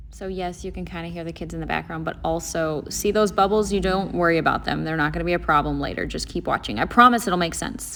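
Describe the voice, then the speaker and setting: A woman talks at a very fast pace with hardly any pauses. Her loudness swings widely, and background noise is noticeable. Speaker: crafter narrating her tutorial. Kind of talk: voiceover narration of a tutorial.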